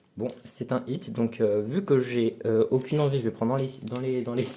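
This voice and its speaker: Here a man speaks at a medium pitch and a moderate pace. His intonation is fairly even. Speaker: new member of a card-opening channel. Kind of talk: casual card unboxing. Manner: loud; halting.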